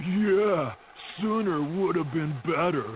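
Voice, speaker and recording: A put-on character voice at a middle pitch, delivered at a fairly slow pace. Background noise is clearly audible. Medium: machinima.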